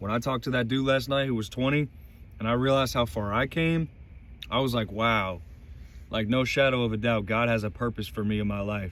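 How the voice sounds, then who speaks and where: The speaker is a man with ordinary pitch variation. He moves at a fairly quick pace. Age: 20s. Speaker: vlogger sharing faith. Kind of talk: personal faith monologue. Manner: animated.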